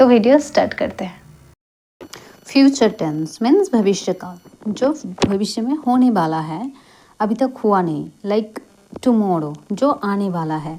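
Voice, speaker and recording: The voice has a dark, mellow tone and very wide pitch swings. It carries a Bengali accent, with long, frequent pauses. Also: woman, fairly high pitch for a woman. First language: Bengali (speaking Hindi). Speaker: English grammar teacher. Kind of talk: tutorial.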